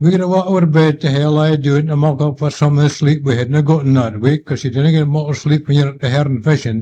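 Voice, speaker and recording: A man with a fairly high, somewhat breathy voice and a dark, mellow tone speaks very fast. His intonation is fairly even and he hardly pauses. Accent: Scottish. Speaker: war veteran; lifeboat coxswain. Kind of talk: oral history recollection. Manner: hesitant, conversational.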